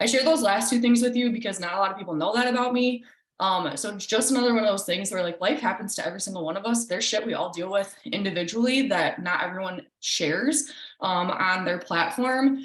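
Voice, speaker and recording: A woman at medium pitch, very fast pace and lively intonation, with audible room echo. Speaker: team coach. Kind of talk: team call presentation.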